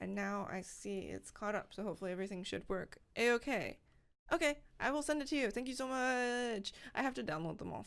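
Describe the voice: The speaker is reading aloud plainly.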